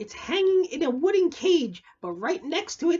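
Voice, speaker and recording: A put-on character voice speaks here at a high pitch. Its pace is moderate. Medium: read story. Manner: earnest, advising.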